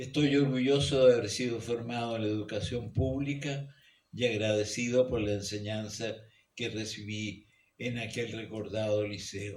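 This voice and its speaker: A somewhat breathy man's voice with audible room echo. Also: medium pitch for a man, fairly even intonation, fairly slow pace. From Chile, Santiago. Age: 90s. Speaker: geologist and author. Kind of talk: reading aloud from own memoir. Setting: book launch event in a radio studio hall.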